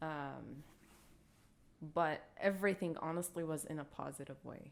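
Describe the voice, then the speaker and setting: A woman with an Arabic accent speaks at a moderate pace with fairly even intonation. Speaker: podcast co-host. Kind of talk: casual chat. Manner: hesitant.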